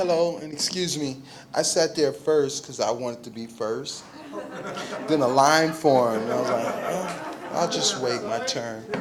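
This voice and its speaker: Amid noticeable background noise and audible room echo, a man with a fairly high pitch talks at a fairly slow pace with ordinary pitch variation. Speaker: memorial speaker, activist. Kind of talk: eulogy. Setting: memorial gathering with audience. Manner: loud.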